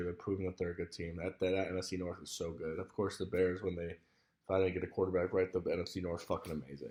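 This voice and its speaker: Someone speaks very fast with monotone, flat intonation. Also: man. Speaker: sports video host. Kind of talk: casual solo sports preview. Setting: indoors in a room at home. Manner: quieter, less loud than usual; casual with many fillers.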